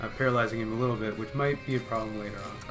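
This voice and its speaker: Music plays in the background as a man of medium pitch talks with fairly even intonation. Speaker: co-commentator. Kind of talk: esports-style gameplay commentary.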